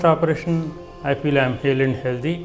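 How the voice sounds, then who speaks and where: A man talks at a fairly quick pace with fairly even intonation while music plays in the background. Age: 70s. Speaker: retired engineer. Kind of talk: patient testimonial.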